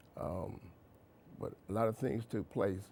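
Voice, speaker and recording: Fairly low male voice with vocal fry and lively intonation. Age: 60s. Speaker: author. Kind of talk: interview. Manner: halting.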